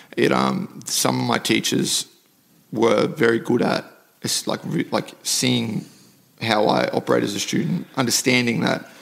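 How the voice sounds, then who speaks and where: A man talks at a fairly slow pace, and noticeable background noise is present. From South Africa, then Mackay, North Queensland from childhood. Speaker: MMA fighter. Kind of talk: casual interview conversation.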